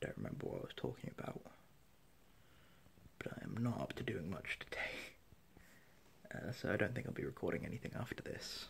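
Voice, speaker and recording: A man whispers with long, frequent pauses. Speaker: vlogger. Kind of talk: casual vlog chat. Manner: slow, low-energy, sleep-deprived mumble. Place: home room. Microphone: phone near.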